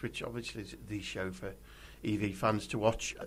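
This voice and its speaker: A somewhat breathy man at a moderate pace. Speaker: podcast co-host, EV club member. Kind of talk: casual chat.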